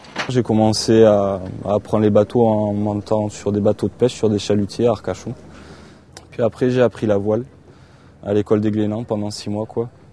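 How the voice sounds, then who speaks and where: Speaking at a moderate pace, a man with a fairly low pitch keeps a monotone, flat intonation and leaves long, frequent pauses. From southwest France, Landes coast. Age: 20s. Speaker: sailing crew member and ship's cook. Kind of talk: documentary interview. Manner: hesitant, many fillers.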